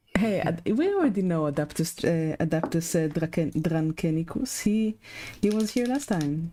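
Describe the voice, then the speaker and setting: Soft-spoken, a woman talks at a moderate pace with lively intonation. Her tone is dark and mellow. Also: fairly low pitch for a woman. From Luxembourg. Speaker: miniature painting streamer. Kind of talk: casual chat.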